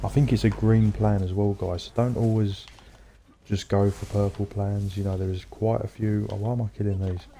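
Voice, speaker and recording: A man with an English accent, fairly low pitch and fairly even intonation at a fairly quick pace. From England. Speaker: gaming streamer. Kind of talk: casual chat. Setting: livestream.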